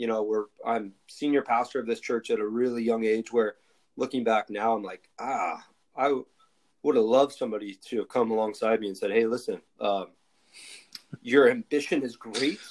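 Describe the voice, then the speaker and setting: A man with a plain, everyday voice, fairly even intonation and a moderate pace. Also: medium pitch for a man. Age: 30s. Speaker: pastor and podcast host. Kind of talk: casual interview.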